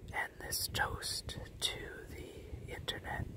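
A man is whispering. His tone is calm and relaxed. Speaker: ASMR creator. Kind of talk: ASMR wine-drinking talk to camera. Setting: outdoors in the woods. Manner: calm, relaxed, casual. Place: forest. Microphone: camera far.

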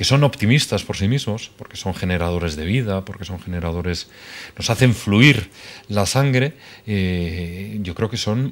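Loudness swings widely while the pace stays fairly slow and the pitch varies in an ordinary way. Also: man, fairly low pitch for a man. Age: 30s. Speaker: novelist; guest. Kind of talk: interview. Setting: TV studio. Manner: hesitant. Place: studio.

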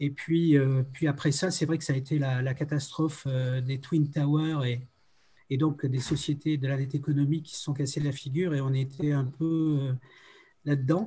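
A somewhat breathy voice with a dark, mellow tone and monotone, flat intonation at a moderate pace. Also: man, fairly high pitch for a man. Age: 70s. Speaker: video game creator and music producer; video game creator. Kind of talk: round table discussion. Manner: halting, many hesitations. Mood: reflective, nostalgic. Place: home room. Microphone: video call.

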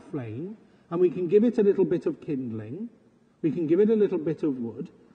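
The voice has a husky, rough edge. Its pitch swings widely. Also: man.

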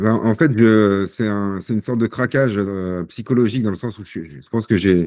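Over a quiet background, a man speaks at a moderate pace in a dark, mellow tone with a fairly low pitch. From Paris region, Seine-Saint-Denis; Paris region. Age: 40s. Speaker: sportsman with Parkinson's disease; podcast guest. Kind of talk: podcast interview. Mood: calm, reflective. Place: home room. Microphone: video call.

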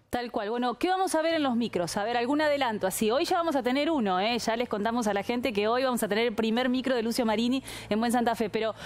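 A woman speaks fast with few pauses. Her pitch is fairly high, with ordinary variation.

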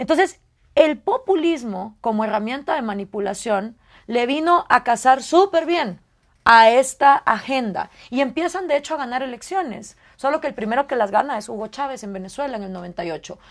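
A woman with a Guatemalan accent speaks at a moderate pace and a high pitch, with very wide pitch swings. Her loudness swings widely against a quiet background. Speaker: political scientist and radio host; radio host. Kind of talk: interview. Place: studio. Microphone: lapel.

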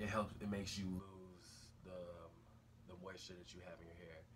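Noticeable background noise sits behind a man with a very deep, low pitch and a somewhat breathy voice. His intonation is fairly even and his pace moderate. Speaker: hair care vlogger. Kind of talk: casual vlog tutorial. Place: home room. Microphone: phone near.

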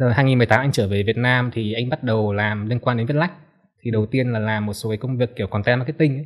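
Against a quiet background, a man speaks at a very fast pace. His voice sits at medium pitch with fairly even intonation. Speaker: book editor; podcast guest. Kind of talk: casual chat. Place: studio. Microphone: studio mic.

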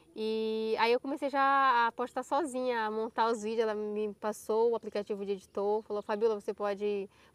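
Her voice is an ordinary speaking voice, fairly high for a woman, moving at a moderate pace with hardly any pauses and fairly even intonation, in a dry, close sound with no echo. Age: 20s. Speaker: YouTuber. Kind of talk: casual chat. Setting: outdoors.

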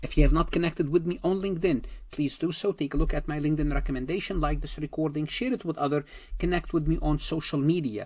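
Talking fast with few pauses, a man uses a slightly mellow, fairly high voice and fairly even intonation.

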